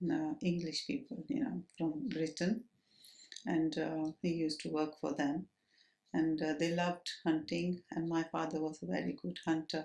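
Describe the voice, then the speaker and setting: With vocal fry and ordinary pitch variation, a woman speaks at a fairly slow pace in a fairly low voice. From Kenya, Nairobi. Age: 70s. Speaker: oral history interviewee. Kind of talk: oral history interview. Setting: at home. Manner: halting, many fillers.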